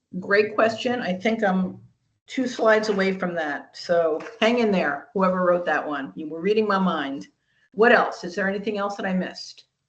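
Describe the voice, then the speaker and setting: In a room with audible echo, a woman talks at a medium pitch and moderate pace with ordinary pitch variation. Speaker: franchising presenter. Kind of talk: webinar presentation. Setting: video call webinar.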